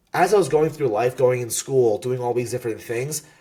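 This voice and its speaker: A man speaks with a New Jersey accent. His voice is somewhat breathy. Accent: New Jersey American English. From US, New Jersey. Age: 20s. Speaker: Pokemon content creator and competitor. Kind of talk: podcast interview. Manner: animated.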